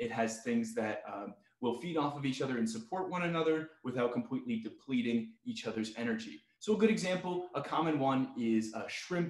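Against a quiet background with audible room echo, a man talks at a moderate pace with hardly any pauses. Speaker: zoo educator. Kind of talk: webinar tutorial. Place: home room.

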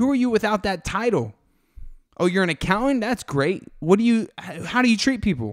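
A man speaks with a high pitch and lively intonation at a moderate pace. The recording is very clean, with a silent background. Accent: American. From Florida, Fort Lauderdale. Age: 20s. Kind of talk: casual monologue on faith. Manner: animated, conversational.

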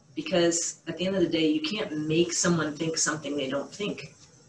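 Over light background noise and with audible room echo, a woman with an American accent speaks at a moderate pace in a very deep, low pitch. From Boston area, USA. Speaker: surgeon; interviewee. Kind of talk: interview answer. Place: home room. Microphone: webcam.

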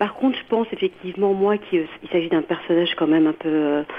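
A woman talks at a fairly quick pace in a fairly low voice. Noticeable background noise runs behind her. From France. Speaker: radio caller. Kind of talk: call-in opinion. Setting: phone call. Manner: halting.

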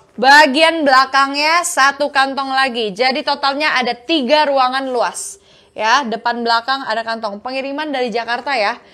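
With hardly any pauses, a woman projects a raised, high-pitched voice with a bright, sharp tone at a moderate pace and ordinary pitch variation. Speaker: online bag seller. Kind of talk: live-stream sales pitch. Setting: online live stream selling bags. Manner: warm and flirty, calls viewers 'sayang' and 'kakak'. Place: shop. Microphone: lapel.

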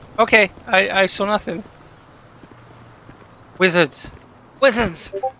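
A man speaks at a very slow pace in a raised, projected voice with a high pitch. Noticeable background noise is present. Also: ordinary pitch variation. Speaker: streamer. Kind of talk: in-game role play banter. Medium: role play.

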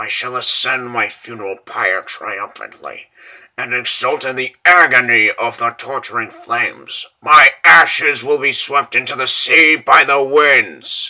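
A man puts on a character voice at medium pitch. He speaks fairly slowly. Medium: dub. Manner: grave, mournful.

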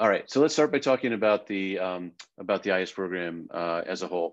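Against a quiet background, a man talks at a fairly quick pace with a fairly low pitch. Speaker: program director and professor. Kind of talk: info session presentation. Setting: video call. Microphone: video call.

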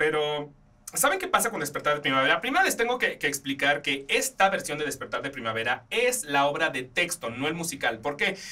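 A man talks in an animated tone at a fairly quick pace. His pitch swings very widely. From Mexico. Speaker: podcast host. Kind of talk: casual film and theatre reviews. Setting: studio.

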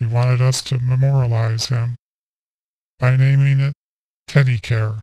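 At a moderate pace and medium pitch, a man speaks in a somewhat breathy, dark, mellow voice with a solemn, deadpan tone and monotone, flat intonation, leaving long, frequent pauses in a dry, close sound with no echo. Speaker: political satirist. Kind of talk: mock funeral eulogy parody delivered as a solemn presidential speech. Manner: solemn, measured oratorical cadence undercut by deadpan punchlines; breaks into a brief chuckle mid-sentence.

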